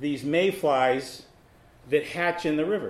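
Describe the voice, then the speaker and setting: Speaking at a moderate pace in an unremarkable speaking voice, a man with an American accent has a fairly high pitch. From Massachusetts. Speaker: author and newspaper columnist. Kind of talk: author talk with slides. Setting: library event with live audience.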